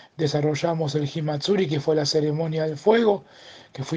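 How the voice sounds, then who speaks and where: Speaking at a moderate pace, a man with a fairly high pitch has a dark, mellow tone. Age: 50s. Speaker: press director of a cultural garden. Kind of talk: interview.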